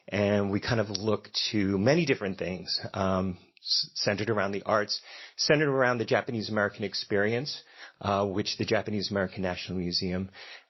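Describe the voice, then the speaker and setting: Someone talks at a fairly quick pace with ordinary pitch variation. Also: man, fairly low pitch for a man. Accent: slight Philadelphia. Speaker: event host at a democracy center. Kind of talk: event welcome speech. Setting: stage with audience and live band.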